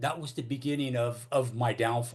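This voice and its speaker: In an American accent, a man of medium pitch speaks in a somewhat breathy voice with monotone, flat intonation. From Northern California (Oakland). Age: 60s. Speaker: recovering alcoholic speaker. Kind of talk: AA recovery talk / testimony. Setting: AA meeting. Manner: halting, many fillers and repetitions.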